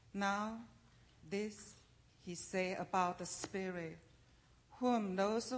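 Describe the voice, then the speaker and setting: Very slowly, a woman talks in fairly even intonation. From Taiwan. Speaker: church member reading scripture. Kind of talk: scripture reading aloud. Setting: church service with congregation.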